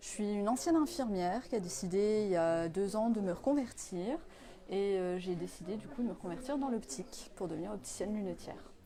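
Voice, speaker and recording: Her voice is an ordinary speaking voice, pitched in the medium range for a woman, with lively intonation. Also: fairly quick pace. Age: 30s. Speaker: apprentice optician, former nurse. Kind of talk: interview.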